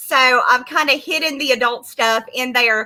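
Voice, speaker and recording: A woman's high, raised and projected voice with a bright, sharp tone and a Southern US accent. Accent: American, Southern. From US South. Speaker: comic book creator. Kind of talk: casual chat. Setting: livestream.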